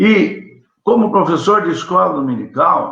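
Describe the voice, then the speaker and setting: The speech comes at a fairly slow pace. Audible room echo surrounds it. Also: man. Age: 60s. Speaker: Sunday school teacher. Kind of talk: Bible lesson. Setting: livestream.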